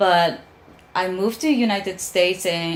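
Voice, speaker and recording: A woman speaks at a moderate pace in a Japanese accent. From Japan, Osaka. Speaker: soul singer. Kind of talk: interview. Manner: halting.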